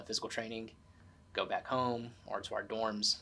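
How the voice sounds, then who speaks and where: A man with an American accent talks at a fairly quick pace. His medium-pitched voice has a bright, sharp tone. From Tennessee, USA. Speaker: Air Force veteran and college student. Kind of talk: oral history interview answer.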